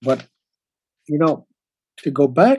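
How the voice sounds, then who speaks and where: This man has an American accent and a fairly high pitch with a dark, mellow tone. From upstate New York. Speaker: retired museum registrar and historian. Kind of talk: interview. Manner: halting, many restarts.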